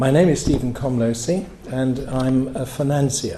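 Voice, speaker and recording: The delivery is fairly slow. Background noise is noticeable, and room echo can be heard. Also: man. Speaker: financier, event speaker. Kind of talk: after-dinner speech. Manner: hesitant, with fillers.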